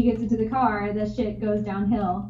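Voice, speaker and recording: A woman's fairly high-pitched, somewhat breathy voice. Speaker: podcast co-host. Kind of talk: casual chat. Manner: stuttering.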